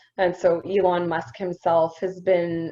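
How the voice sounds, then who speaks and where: A woman's fairly low voice with music in the background. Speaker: mining company representative. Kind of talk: presentation.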